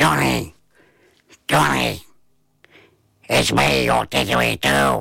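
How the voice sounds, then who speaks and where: A put-on character voice, raspy and gruff, with very deep, low pitch, a fairly slow pace and long, frequent pauses. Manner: calling out.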